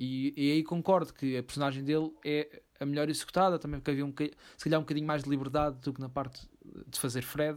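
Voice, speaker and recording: Very fast speech from a man at a fairly high pitch, monotone and flat in intonation, on a very clean recording with a silent background. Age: 20s. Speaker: film podcast co-host. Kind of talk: casual chat.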